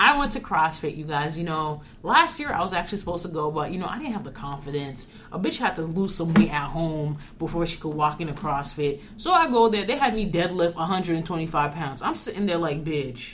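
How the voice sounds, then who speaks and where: A woman with a New York accent talks at a fairly quick pace in a fairly low pitch with ordinary variation. Noticeable background noise can be heard. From New York suburbs. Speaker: podcast co-host, college student.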